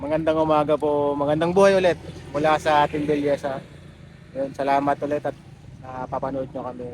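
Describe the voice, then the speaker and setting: Over noticeable background noise, a man with a fairly high pitch talks at a fairly quick pace. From Zambales, Philippines. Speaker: travel and food vlogger. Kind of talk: walking tour vlog. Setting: outdoors at a market. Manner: casual, laughs often.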